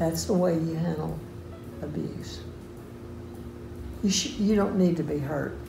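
A woman talks at a fairly slow pace, with long, frequent pauses. Faint music plays in the background. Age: 80s+. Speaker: elderly churchgoer sharing testimony. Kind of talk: testimony. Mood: earnest, firm. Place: home room. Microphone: phone near.

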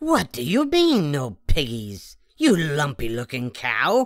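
A put-on character voice sits at a low-to-middle pitch. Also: fairly slow pace. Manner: screeching.

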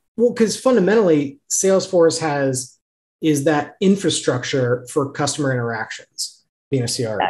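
Somewhat breathy, a man speaks at a moderate pace with a fairly high pitch and lively intonation. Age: 30s. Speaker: podcast host. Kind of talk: interview. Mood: friendly, relaxed. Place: home room. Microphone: video call.

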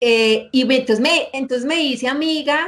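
A woman talks with a high pitch. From Colombia, northern Valle del Cauca (La Unión); Valle del Cauca, Colombia. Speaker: university operations manager; interview guest. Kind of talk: interview. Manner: animated. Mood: warm, animated storytelling. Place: office.

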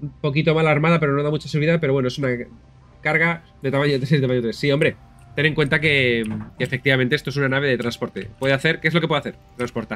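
A man's fairly high voice at a very fast pace with fairly even intonation. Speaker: video game streamer. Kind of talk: casual gameplay commentary.

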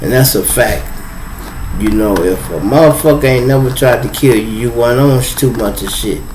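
Light background noise is present as a man talks at a moderate pace. His pitch varies in an ordinary way. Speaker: live stream host. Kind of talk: casual live stream storytelling. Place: home room. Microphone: phone near.

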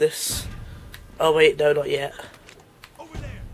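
Noticeable background noise runs under talking at a moderate pace. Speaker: let's play gamer. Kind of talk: gameplay commentary. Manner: animated.

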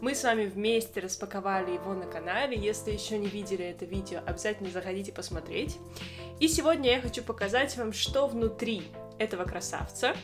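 A woman speaks at a fairly quick pace with clear music in the background. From Russia, Saint Petersburg; Russia. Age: 20s. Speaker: violinist and video blogger; violinist vlogger. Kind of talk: casual show-and-tell vlog. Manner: friendly, with filler hesitations.

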